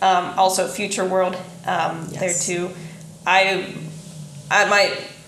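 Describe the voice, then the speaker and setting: With a Midwestern US accent, a woman at a medium pitch speaks very slowly in a flat monotone, leaving long, frequent pauses, amid noticeable background noise and audible room echo. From southeastern Indiana. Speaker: podcast co-host. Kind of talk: casual chat.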